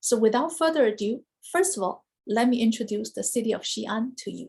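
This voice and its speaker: A woman's fairly high voice with a Chinese accent, lively intonation, vocal fry, big swings in loudness, and a fairly quick pace. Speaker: university study abroad administrator and Chinese professor. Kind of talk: informational presentation. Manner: clear, explanatory.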